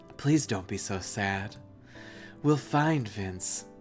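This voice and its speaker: Over clear music in the background, a man does a put-on character voice, breathy and fairly low in pitch, with lively intonation at a very slow pace. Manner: comforting, sympathetic.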